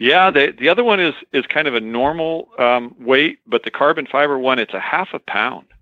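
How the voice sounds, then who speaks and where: A man with an American accent and an ordinary speaking voice, fairly high in pitch, with lively intonation at a moderate pace. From Oregon. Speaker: podcast co-host. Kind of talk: casual chat.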